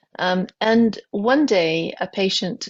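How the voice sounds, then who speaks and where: A woman speaks with a British accent. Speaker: physician, pain specialist. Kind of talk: podcast interview. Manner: halting, many fillers.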